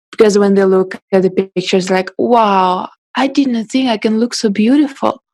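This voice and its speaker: A woman with a Russian accent speaks at a moderate pace and medium pitch, with ordinary pitch variation and very even loudness. The sound is dry and close with no echo. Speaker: photographer and podcast host. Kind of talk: interview.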